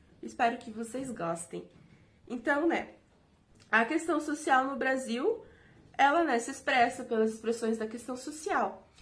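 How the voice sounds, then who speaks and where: With audible room echo, a woman speaks at a fairly slow pace in a high pitch with ordinary pitch variation, big swings in loudness and long, frequent pauses. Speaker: teaching intern. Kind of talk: recorded video lecture. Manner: halting, many fillers.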